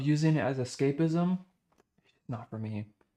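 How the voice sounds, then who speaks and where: Dark, mellow tone from a man pitched fairly high. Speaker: live streamer. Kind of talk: casual livestream chat.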